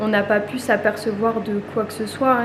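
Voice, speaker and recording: A woman with a fairly high pitch speaks at a moderate pace, with audible room echo and noticeable background noise. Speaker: family vlogger. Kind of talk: vlog monologue. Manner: halting.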